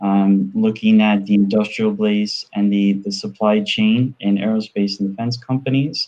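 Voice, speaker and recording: Someone speaks in a New York accent at a moderate pace. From US, New York. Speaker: entrepreneur and panelist. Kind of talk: panel discussion.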